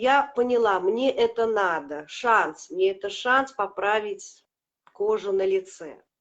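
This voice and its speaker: Lively intonation runs through speech at a very slow pace. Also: woman, fairly high pitch for a woman. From Latvia. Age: 50s. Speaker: product customer sharing results. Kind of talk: testimony. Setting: live video stream.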